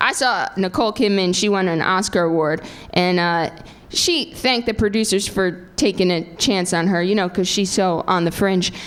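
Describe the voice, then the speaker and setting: With an American accent, a woman talks at medium pitch and a moderate pace in a normal speaking voice. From New Jersey. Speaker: stand-up comedian. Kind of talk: stand-up.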